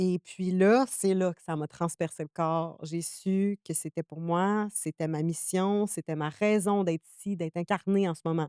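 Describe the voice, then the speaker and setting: A woman speaks with a Quebec accent at a fairly slow pace, her fairly low voice dark and mellow, with hardly any pauses, in a very clean, dry, close recording with no echo and a silent background. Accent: Québécois French. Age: 20s. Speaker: spiritual energy practitioner. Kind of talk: podcast interview. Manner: animated.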